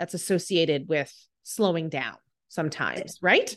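The background is quiet as a woman speaks in an animated tone. Her pitch variation is ordinary. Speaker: podcast host. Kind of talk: casual interview chat.

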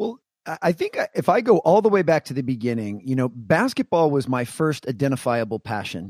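A man with an American accent and an unremarkable speaking voice, medium in pitch, fairly quick, in a dry, close sound with no echo. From US Mid-Atlantic, Washington DC area (Maryland). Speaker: keynote speaker and former basketball performance coach. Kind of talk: interview conversation.

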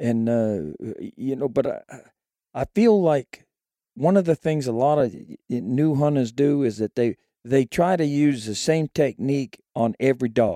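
Speaking at a fairly slow pace with an American accent, a man has a dark, mellow tone in a dry, close sound with no echo. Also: medium pitch for a man, lively intonation. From Maine. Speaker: coon hunter. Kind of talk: casual interview.

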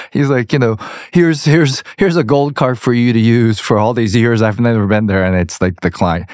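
Using a normal speaking voice, a man speaks at a fairly quick pace and medium pitch, with lively intonation and very even loudness. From US South, Georgia. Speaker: podcast host and actor. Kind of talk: casual interview chat.

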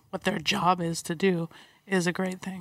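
A woman with an American accent, monotone and flat, at a moderate pace in a very clean recording with a silent background. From US West Coast (San Diego). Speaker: athletic trainer and physical therapist. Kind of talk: interview.

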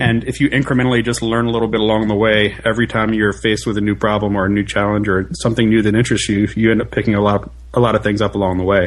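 A man talks at a very fast pace with hardly any pauses, very even loudness and fairly even intonation. His pitch is fairly low, and there is noticeable background noise. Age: 30s. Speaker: tech operations engineer. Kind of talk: casual chat. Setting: podcast interview.

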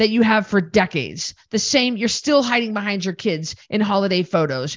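Here a woman talks at a fairly quick pace. Her pitch is medium and her intonation lively. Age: 40s. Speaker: podcast host, weight loss coach and retired boxer. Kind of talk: monologue podcast. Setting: studio recording, also filmed. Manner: blunt and direct.

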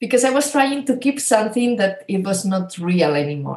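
Somewhat breathy, a woman with a Spanish accent makes very wide pitch swings. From Spain. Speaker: spiritual coach and healer. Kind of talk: interview conversation.

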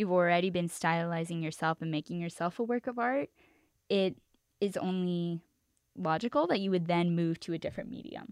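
Speaking with an American accent at a fairly quick pace, a woman has an ordinary speaking voice, fairly low pitch and ordinary pitch variation, with a dry, close sound with no echo on a very clean recording against a silent background. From East Los Angeles. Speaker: recent college graduate and scholar. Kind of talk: interview. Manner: casual, filler-heavy.

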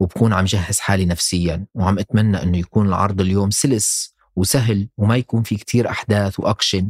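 A man speaks at a moderate pace in a very deep, low voice that is somewhat breathy. His intonation stays fairly even, and the sound is dry and close with no echo. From Syria, Damascus. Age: 30s. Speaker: podcast narrator and producer. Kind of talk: scripted personal narration.

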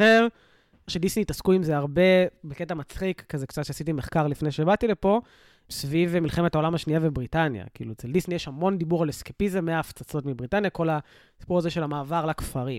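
Recorded very cleanly against a silent background, with a dry, close sound and no echo, a man with a fairly high pitch and an unremarkable speaking voice talks at a fairly quick pace with ordinary pitch variation. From Israel, south (Sderot). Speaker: reservist soldier and social worker. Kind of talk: casual chat.

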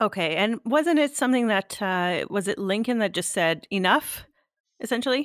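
A woman with a Canadian accent speaks at a moderate pace with lively intonation and very even loudness, in a very clean recording with a silent background and a dry, close sound with no echo. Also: fairly high pitch for a woman. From Canada. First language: French. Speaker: podcast host. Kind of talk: casual interview.

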